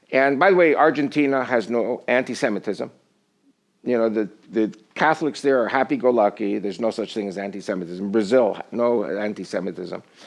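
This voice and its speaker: Here is a man with an ordinary speaking voice and an American accent, pitched at a medium level. His pitch varies in an ordinary way at a fairly quick pace. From US, New York area. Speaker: political commentator, former army spokesman. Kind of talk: studio interview. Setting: TV studio.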